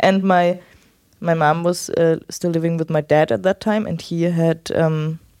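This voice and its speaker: A woman with a German accent speaks at a fairly low pitch in a dark, mellow tone, recorded with a dry, close sound and no echo. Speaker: host's wife. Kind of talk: casual chat.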